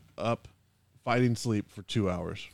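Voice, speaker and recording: Speaking at a very slow pace, a man uses a medium pitch with ordinary pitch variation, in a dry, close sound with no echo. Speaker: podcast host. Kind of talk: casual banter, movie discussion. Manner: joking, bantering.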